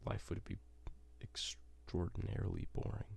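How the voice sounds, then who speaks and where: A man whispers at a moderate pace. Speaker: ASMR creator. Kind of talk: ASMR gaming ramble. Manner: whispered, soft-spoken.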